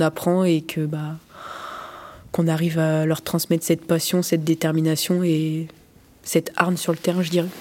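Noticeable background noise sits behind a woman's fairly low voice. She speaks fairly slowly with flat, monotone intonation. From France, Limoges. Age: 20s. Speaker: goalkeeper and sports student. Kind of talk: interview. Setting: locker room after a match.

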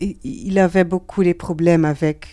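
In a Dutch accent, the speaker talks at a very slow pace in a dark, mellow tone, with ordinary pitch variation. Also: woman. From Netherlands. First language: Dutch (speaking French). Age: 30s. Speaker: comic book author and artist. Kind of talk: interview. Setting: bookshop in Geneva. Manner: halting, frequent hesitations and repeated words.

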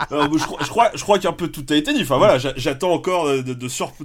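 A man talks at a fairly quick pace with ordinary pitch variation. His is an unremarkable speaking voice. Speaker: podcast panelist. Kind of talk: casual chat.

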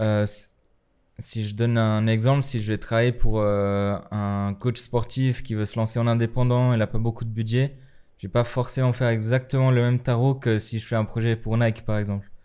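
With monotone, flat intonation and a dark, mellow tone, a man talks at a moderate tempo. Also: medium pitch for a man. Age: 20s. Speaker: graphic designer and dancer. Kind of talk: casual chat.

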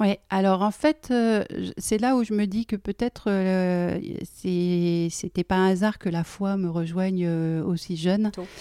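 A dark, mellow voice speaks at a very slow pace with fairly even intonation on a very clean, dry, close recording with a silent background and no echo. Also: woman, medium pitch for a woman. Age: 40s. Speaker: IT engineer and family constellations practitioner. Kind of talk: casual interview. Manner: hesitant, many fillers.

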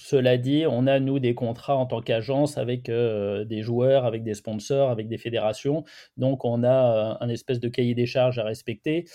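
A dark, mellow tone moves at a moderate pace with fairly even intonation over a quiet background. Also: man. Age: 40s. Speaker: journalist and sports photographer. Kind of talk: interview. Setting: remote call from a hotel room.

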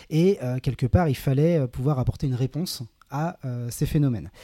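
A somewhat breathy man at medium pitch with a dark, mellow tone, on a very clean recording with a silent background and a dry, close sound with no echo. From western France, Saint-Nazaire (Loire-Atlantique). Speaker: environmental NGO project manager. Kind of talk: casual interview. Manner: hesitant, many fillers.

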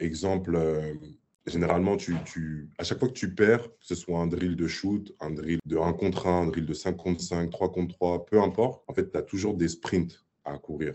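Here a man speaks with a very deep, low pitch. His pace is fairly slow and his intonation fairly even. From Paris, France. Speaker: professional basketball player. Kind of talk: casual interview. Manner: casual slangy, many fillers.

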